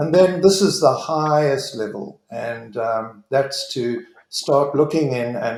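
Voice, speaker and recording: With an ordinary speaking voice, the speaker goes at a fairly slow pace, uses lively intonation and hardly pauses. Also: man. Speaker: leadership trainer. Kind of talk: online presentation.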